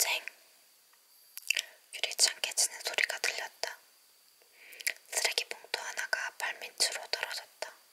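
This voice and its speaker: Amid noticeable background noise, a whisper proceeds fairly slowly, broken by long, frequent pauses. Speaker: ASMR creator. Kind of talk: ASMR book reading. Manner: whispered.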